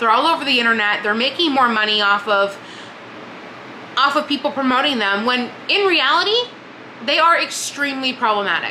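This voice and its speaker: A woman speaks in a high, raised, projected voice at a fairly quick pace, her intonation lively and her tone animated. Long pauses come often, and noticeable background noise runs underneath. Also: very even loudness. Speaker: book vlogger. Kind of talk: casual monologue. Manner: fast.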